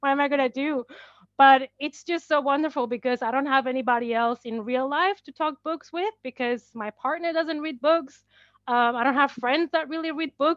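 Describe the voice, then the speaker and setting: A woman with a non-native accent and a high pitch talks at a moderate pace with ordinary pitch variation. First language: not English. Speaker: horror book and movie YouTuber. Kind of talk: casual chat.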